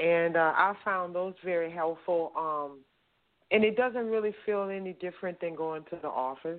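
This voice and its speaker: A woman with an unremarkable speaking voice, fairly low in pitch with ordinary variation, at a moderate pace. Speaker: caller. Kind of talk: casual chat. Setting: phone call.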